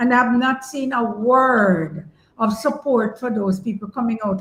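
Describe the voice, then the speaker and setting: Against noticeable background noise, a woman with fairly high pitch talks with ordinary pitch variation. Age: 70s. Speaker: journalist. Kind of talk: interview discussion.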